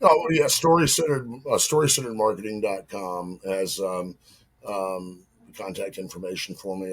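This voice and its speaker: Moving at a fairly quick pace, a man speaks in a Southern US accent. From US South. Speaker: marketing consultant, podcast guest. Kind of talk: casual chat.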